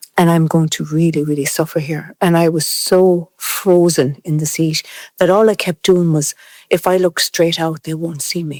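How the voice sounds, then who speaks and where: Someone speaks at a moderate pace with an Irish accent. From Ireland. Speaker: interviewee, mixed-race care survivor. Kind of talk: podcast discussion, personal testimony.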